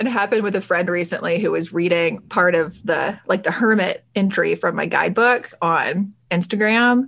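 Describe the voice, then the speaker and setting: With an American accent, a woman talks in an ordinary speaking voice at medium pitch and a moderate pace, with ordinary pitch variation and hardly any pauses. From US South, Alabama. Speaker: tarot podcast host and deck creator. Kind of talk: scripted show intro; casual interview chat.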